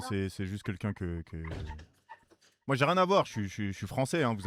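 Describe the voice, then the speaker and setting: This man has a fairly low pitch and lively intonation. He speaks at a fairly quick pace. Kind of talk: casual spoken French, defensive.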